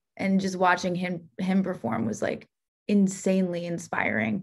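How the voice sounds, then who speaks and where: Over a quiet background, a woman talks with an American accent. Her pitch is medium for a woman. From New Jersey, Bergen County; New Jersey. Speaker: singer-songwriter; guest. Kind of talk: casual interview. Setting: video call. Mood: friendly, enthusiastic. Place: home room. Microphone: video call.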